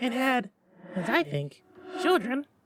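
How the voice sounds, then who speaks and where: A man's put-on character voice at an extremely high pitch, with very wide pitch swings. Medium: read story. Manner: quiet, measured.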